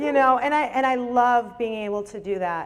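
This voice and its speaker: A woman's fairly high voice with an American accent, moderate pace and ordinary pitch variation. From Nevada. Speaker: recovery meeting speaker. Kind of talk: recovery testimony. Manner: halting.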